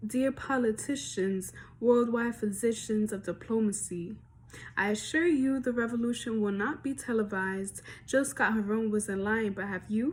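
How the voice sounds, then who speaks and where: Moderate-paced speech from a woman, fairly high and somewhat breathy, with ordinary pitch variation. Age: young. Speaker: spoken word poet. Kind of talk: spoken word poetry performance.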